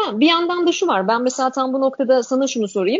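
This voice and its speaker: High-pitched for a woman, her voice shows ordinary pitch variation. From Turkey. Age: 40s. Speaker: generational researcher and author. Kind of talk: interview.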